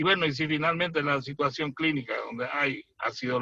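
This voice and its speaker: A man with a fairly high pitch talks at a fairly slow pace in a bright, sharp tone. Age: 60s. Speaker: surgeon. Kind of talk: expert panel commentary. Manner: detailed, explanatory.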